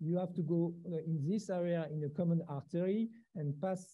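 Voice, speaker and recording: Against a quiet background, a man speaks in a high voice at a fairly slow pace. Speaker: presenter. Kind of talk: lecture. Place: hall.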